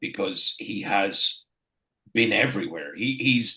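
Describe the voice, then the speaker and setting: The voice has a bright, sharp tone with vocal fry. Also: man. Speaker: wrestling ring announcer. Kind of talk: podcast interview answer.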